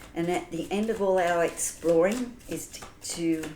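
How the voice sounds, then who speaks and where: With an Australian accent, a woman speaks at a fairly slow pace and fairly low pitch, her pitch varying in an ordinary way amid audible room echo. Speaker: tarot reader. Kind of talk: tarot reading. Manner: casual, chatty.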